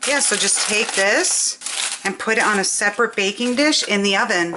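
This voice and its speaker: A woman speaks at a medium pitch and a moderate pace with ordinary pitch variation, and there is noticeable background noise. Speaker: cooking channel host. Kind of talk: cooking tutorial. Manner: soft-spoken.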